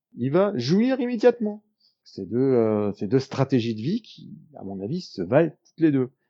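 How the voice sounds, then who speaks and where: Speaking fairly slowly, a man with a dark, mellow tone and medium pitch makes very wide pitch swings and big shifts in loudness. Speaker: YouTuber on enneagram psychology. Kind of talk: casual explanatory monologue. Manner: hesitant fillers.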